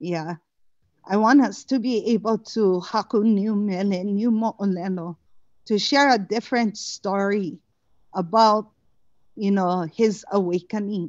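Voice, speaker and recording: With a Hawaiian accent, a woman speaks at a fairly slow pace. Long pauses come often. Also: medium pitch for a woman, ordinary pitch variation. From Hawaii, Lower Puna. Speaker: cultural practitioner. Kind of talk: testimony. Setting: video call. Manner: halting.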